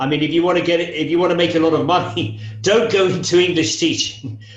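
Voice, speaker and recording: There is audible room echo around a man whose intonation is lively. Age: 60s. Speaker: English teacher. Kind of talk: interview. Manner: hesitant, with frequent fillers.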